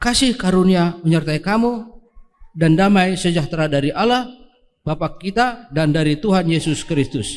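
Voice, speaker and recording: With lively intonation, a man speaks at a moderate pace in a high pitch. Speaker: scripture reader in church. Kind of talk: scripture reading. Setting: church service, livestreamed.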